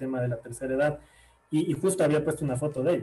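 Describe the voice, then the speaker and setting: The man's pitch is fairly high, and it varies in an ordinary way. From Ecuador, Guayaquil. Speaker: psychologist. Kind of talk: interview. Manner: halting, many repeated words.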